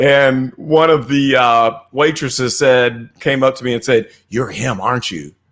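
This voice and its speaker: A man with a Midwestern US accent speaks at a fairly slow pace and medium pitch. His intonation is fairly even, and he hardly pauses. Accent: US Midwest. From Missouri, US Midwest. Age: 50s. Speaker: crypto investor and technical analyst. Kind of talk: casual interview. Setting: live stream.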